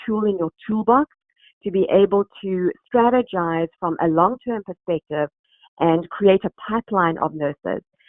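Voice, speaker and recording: A woman with a South African accent speaks at a medium pitch. Her pace is moderate, and her pitch variation is ordinary. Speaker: recruitment company executive. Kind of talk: webinar presentation. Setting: online webinar. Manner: hesitant, many fillers.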